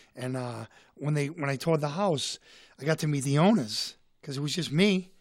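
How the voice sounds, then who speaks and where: On a very clean recording with a silent background, a man speaks in a Boston accent at a fairly high pitch with ordinary pitch variation. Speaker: comedian and author. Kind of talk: casual chat. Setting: studio.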